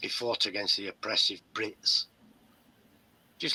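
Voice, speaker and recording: Moderate-paced speech from a man, very cleanly recorded against a silent background. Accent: English. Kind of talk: casual chat.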